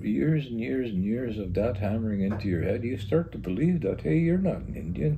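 A man speaks at a moderate pace with a fairly low pitch and very wide pitch swings. Noticeable background noise runs underneath. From Green Lake, Saskatchewan; Saskatchewan, Canada. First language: Cree. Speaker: village mayor. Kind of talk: interview about local history. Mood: reflective, recalling the past. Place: home room. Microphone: lapel.

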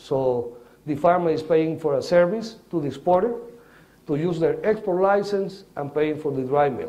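With a Spanish accent, a man talks at a moderate pace. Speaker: coffee agronomist and farmer. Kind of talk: lecture. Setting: stage with audience. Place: hall.

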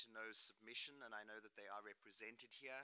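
A man speaks at a fairly quick pace. His tone is bright and sharp, with monotone, flat intonation. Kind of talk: formal delegation answer. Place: meeting room. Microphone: podium.

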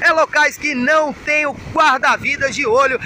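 Over light background noise, a man speaks in a raised, projected voice with fairly even intonation and a dry sound with no echo. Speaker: surf report host. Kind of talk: surf report commentary. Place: beach. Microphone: phone near.

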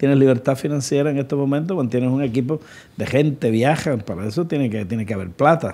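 A very fast male voice, dark and mellow in tone, with ordinary pitch variation. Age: 60s. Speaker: podcast host. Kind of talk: interview. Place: studio. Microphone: studio mic.

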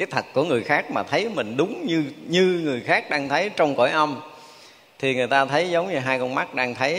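This man's intonation is lively. He speaks at a fairly quick pace. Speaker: monk teacher. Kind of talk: sermon. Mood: warm, smiling. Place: hall.

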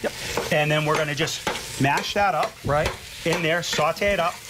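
Noticeable background noise sits behind speech that goes at a fairly quick pace. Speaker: guest. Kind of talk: cooking demo chat. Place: studio.

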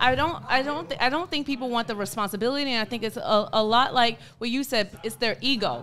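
A woman's high voice at a fairly quick pace, with hardly any pauses, ordinary pitch variation and light background noise. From United States. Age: 20s. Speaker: teacher, panel guest; teacher, guest. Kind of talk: casual debate. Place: studio.

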